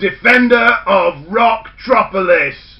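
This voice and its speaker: A man puts on a character voice pitched extremely high. He talks at a fairly slow pace. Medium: read story. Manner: theatrical, announcer-like.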